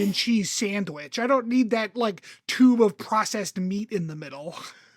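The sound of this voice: Over noticeable background noise, a man with a Philadelphia accent speaks in a high voice at a moderate pace with hardly any pauses.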